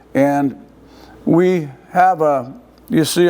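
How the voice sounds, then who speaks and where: Fairly high-pitched for a man, a dark, mellow voice with fairly even intonation. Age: 80s+. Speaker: retired football coach. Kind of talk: interview. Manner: halting.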